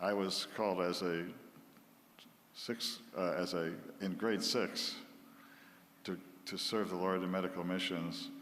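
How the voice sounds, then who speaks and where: A man with a very deep, low pitch talks at a fairly slow pace. He leaves long, frequent pauses amid audible room echo. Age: 80s+. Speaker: missionary doctor. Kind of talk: church talk.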